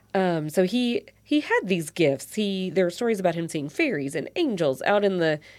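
A woman's fairly low voice at a moderate pace, on a very clean recording with a silent background. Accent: Kentucky. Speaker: podcast host. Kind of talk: casual conversational interview. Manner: filler-heavy, hesitant.

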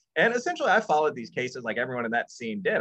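Using vocal fry and very wide pitch swings, a man talks with an American accent. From northern Illinois (Chicago area). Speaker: professor and author. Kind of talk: interview.

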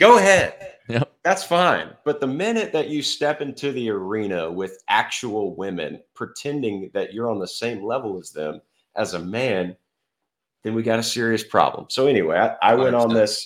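A man's medium-pitched voice at a moderate pace, with very wide pitch swings, on a very clean recording with a silent background. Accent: Texan. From Texas, Fort Worth. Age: 30s. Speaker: former professional golfer. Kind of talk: podcast interview.

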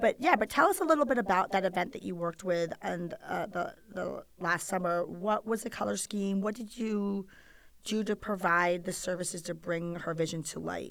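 A woman speaks at a moderate pace with an American accent and a medium pitch. There is vocal fry, and her pitch varies in an ordinary way. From Rhode Island, US. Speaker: podcast host, wedding photographer. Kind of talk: interview. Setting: in person, sitting across from guest.

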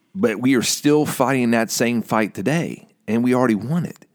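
The speaker is a man. He keeps a moderate pace. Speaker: co-host. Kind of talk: casual banter.

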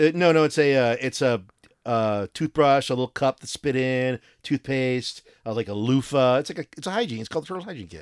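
A man's unremarkable speaking voice, medium in pitch with ordinary pitch variation, at a fairly quick pace, with big swings in loudness and a dry, close sound with no echo. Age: 40s. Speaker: podcast host. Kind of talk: casual chat.

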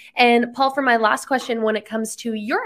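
The speaker has a bright, sharp tone and a fairly quick pace, in a very clean recording with a silent background. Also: woman. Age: 20s. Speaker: podcast host. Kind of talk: interview.

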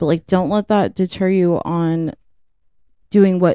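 A dark, mellow tone with fairly even intonation at a fairly slow pace, in dry, close sound with no echo. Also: woman. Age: 30s. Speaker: podcast co-host. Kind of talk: casual chat.

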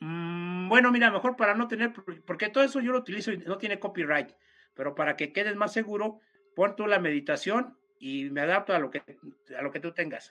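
In a Mexican accent, a man speaks in a raised, projected voice with a high pitch and a bright, sharp tone. His pace is fairly quick and his intonation lively. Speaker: esoteric speaker. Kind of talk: casual chat.

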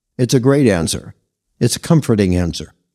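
A man with a dark, mellow tone speaks with lively intonation. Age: old. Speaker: podcast host, grandfather giving life advice. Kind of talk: scripted narration.

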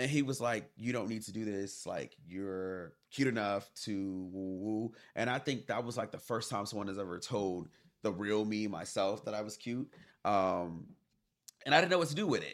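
An unremarkable speaking voice, this man's is fairly low in pitch, with an American accent and ordinary pitch variation. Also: moderate pace, very clean recording, silent background. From US South. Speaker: podcast guest. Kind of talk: personal testimony.

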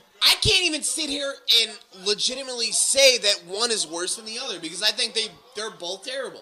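A man projects a raised voice at an extremely high pitch, with lively intonation. His loudness swings widely, and background noise is noticeable. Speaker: podcast host. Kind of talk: casual banter, profane riffing, live reaction while watching wrestling. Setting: garage podcast recording.

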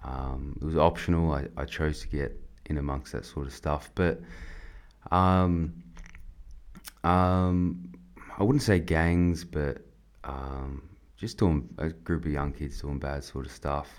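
At a very slow pace with long, frequent pauses, a man with an Australian accent and a very deep, low voice speaks with ordinary pitch variation. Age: 20s. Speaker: army veteran. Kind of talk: testimony. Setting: studio. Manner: halting.

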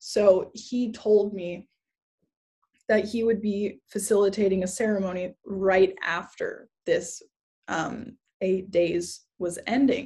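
At a very slow pace, a woman speaks with a dark, mellow tone at medium pitch, somewhat breathy and with fairly even intonation. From Hawaii (Kauai). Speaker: healer and spiritual community leader. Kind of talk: casual interview conversation.

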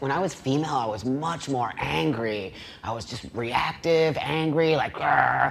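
With noticeable background noise behind him, a man with a fairly high pitch speaks at a moderate pace with lively intonation and hardly any pauses. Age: 50s. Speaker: panel participant. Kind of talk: panel debate.

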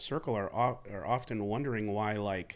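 A man with a fairly low pitch talks at a moderate pace.

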